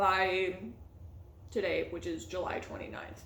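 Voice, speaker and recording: Audible room echo surrounds the woman's voice as she talks. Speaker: booktuber; PhD student. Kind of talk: casual vlog chat.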